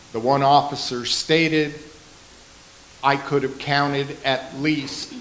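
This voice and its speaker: The pace is very slow. Light background noise can be heard. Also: man. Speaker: local business owner. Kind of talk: public presentation. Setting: town council meeting. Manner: loud. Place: meeting room. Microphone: handheld.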